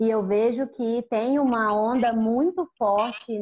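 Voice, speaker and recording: A woman is speaking. Her pitch sits fairly high. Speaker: podcast host, photographer. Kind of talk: casual chat. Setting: video call.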